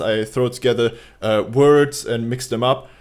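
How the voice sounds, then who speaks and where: With a German accent, a man talks at a medium pitch in a flat monotone, recorded very cleanly against a silent background. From Germany. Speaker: YouTuber reacting to a video. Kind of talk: casual reaction commentary. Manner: halting, with hesitations.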